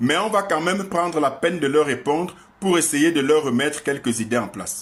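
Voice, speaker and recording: With lively intonation, a man speaks in a fairly high voice. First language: an African language (speaking French). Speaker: online commentator. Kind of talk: opinion monologue. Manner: sarcastic, combative.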